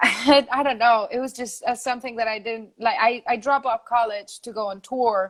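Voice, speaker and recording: The speaker has a Spanish accent, ordinary pitch variation and a moderate pace. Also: woman. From Spain, Madrid. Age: 20s. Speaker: singer-songwriter. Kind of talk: interview.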